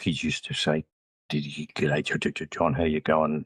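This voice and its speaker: A man with an Australian accent, recorded with a dry, close sound and no echo. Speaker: retired educator. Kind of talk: interview.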